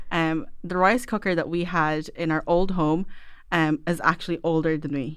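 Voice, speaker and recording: A woman with an Irish accent at a fairly low pitch, a moderate pace and ordinary pitch variation, in a very clean recording with a silent background. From Ireland, Filipino family. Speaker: food blogger. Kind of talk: casual chat. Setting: studio.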